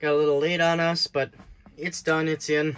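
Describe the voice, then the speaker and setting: A man talks in a monotone, flat intonation while light background noise sits behind him. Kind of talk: casual vlog chat. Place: car. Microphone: phone near.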